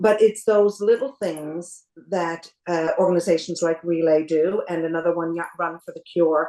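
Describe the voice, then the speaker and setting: A normal speaking voice moves at a moderate pace with hardly any pauses. The intonation stays fairly even while the loudness swings a lot. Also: woman, fairly low pitch for a woman. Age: 60s. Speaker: cancer survivor. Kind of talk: interview. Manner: calm.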